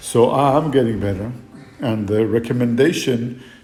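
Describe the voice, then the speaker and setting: The pace is moderate and the intonation fairly even. Room echo can be heard. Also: man. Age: 60s. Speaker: fitness trainer. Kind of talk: fitness vlog monologue. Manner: hesitant, many fillers.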